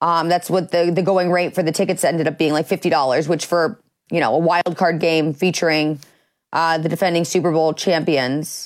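A plain, everyday voice from a woman with an American accent, fairly low in pitch, with fairly even intonation, very even loudness and a moderate pace, on a very clean recording with a silent background. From US Midwest. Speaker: sports show host. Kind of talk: casual sports talk.

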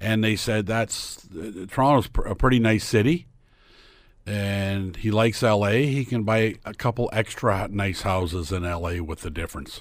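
A man speaks in a normal speaking voice at a fairly low pitch and a moderate pace. His pitch varies in an ordinary way on a very clean recording with a silent background. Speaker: sports commentator and realtor. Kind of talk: casual chat.

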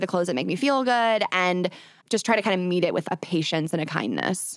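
A woman speaks at medium pitch with ordinary pitch variation. She has a plain, everyday voice. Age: 20s. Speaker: content creator and podcaster. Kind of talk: interview.

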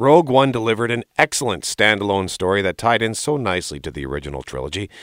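A man talks fairly quickly at a medium pitch with vocal fry. The sound is dry and close with no echo, on a very clean recording with a silent background. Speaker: film commentator. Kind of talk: film review commentary.

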